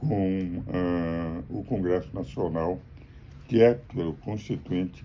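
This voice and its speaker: A man with a very deep, low pitch, lively intonation and vocal fry. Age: 80s+. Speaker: jurist and political commentator. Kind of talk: political commentary monologue. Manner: formal.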